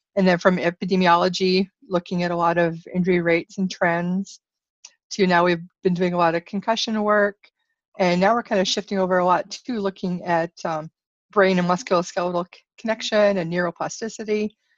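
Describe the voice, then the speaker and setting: A woman with a normal speaking voice, medium in pitch, at a fairly quick pace with fairly even intonation and a dry, close sound with no echo. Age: 40s. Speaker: athletic trainer and clinical researcher. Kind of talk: interview.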